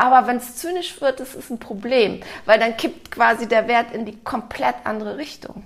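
Using a normal speaking voice, a woman keeps a moderate pace and fairly high pitch, with ordinary pitch variation and big swings in loudness. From Germany, Cologne. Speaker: author and organizational consultant. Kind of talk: interview conversation.

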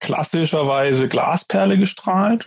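Here a man speaks with an unremarkable speaking voice at a fairly high pitch. His intonation is lively and his pace fairly slow. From Franconia, Coburg. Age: 40s. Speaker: sales engineer. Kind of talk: technical interview. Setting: remote call via internet.

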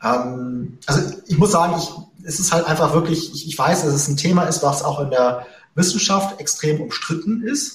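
The voice moves at a fairly slow pace with ordinary pitch variation, and audible room echo is present. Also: man, fairly high pitch for a man. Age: 40s. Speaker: investor and investing podcaster. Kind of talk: interview.

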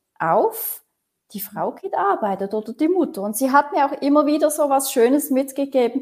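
A woman's voice with very wide pitch swings. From Switzerland, Basel region. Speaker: consultant on intergenerational collaboration. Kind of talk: interview conversation.

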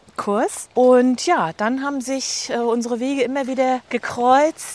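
A woman's high-pitched voice at a fairly slow pace. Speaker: podcast host, walking coach. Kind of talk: interview. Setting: outdoors, walking in a forest.

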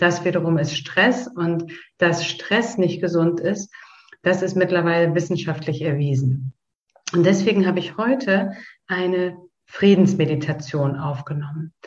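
This woman has an unremarkable speaking voice with a fairly low pitch and ordinary pitch variation. She talks at a fairly slow pace. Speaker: podcast host guiding a meditation. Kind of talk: guided meditation. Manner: slow, calm, soothing, with long pauses; gentle, directive, intimate.

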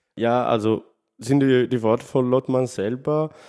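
Speaking at a fairly slow pace, a man with a medium pitch and a dark, mellow tone is heard in a very clean recording against a silent background. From Sardinia, Italy. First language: Italian / Sardinian (speaking German). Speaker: literary scholar. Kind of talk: interview. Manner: halting, non-native phrasing.

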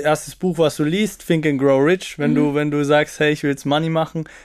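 Heard on a very clean recording with a silent background, a man with a fairly high voice talks at a moderate pace. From Austria, Salzburg small town. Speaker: TikToker and student. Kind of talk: podcast interview.

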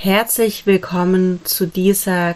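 The tone is calm and soothing. The pace is very slow. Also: woman. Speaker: yoga teacher. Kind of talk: guided meditation. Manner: slow, calm, soothing; pausing, rhythmic body-part listing.

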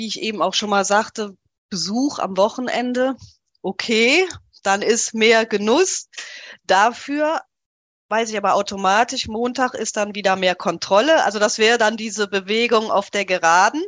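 Over a quiet background, a woman speaks at a moderate pace with a fairly high pitch. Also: ordinary pitch variation. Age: 40s. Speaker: coaching client sharing weight-loss story. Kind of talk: interview, personal testimony.

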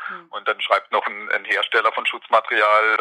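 The sound is dry and close with no echo, though noticeable background noise is present. The pace is fairly quick. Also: man. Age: 40s. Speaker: nurse and care home manager. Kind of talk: interview.

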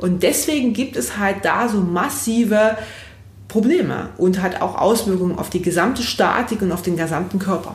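Room echo and background noise are both noticeable. A woman with a medium pitch talks at a moderate pace with ordinary pitch variation. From Saxony, near Leipzig. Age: 30s. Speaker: physiotherapist. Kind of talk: podcast interview.

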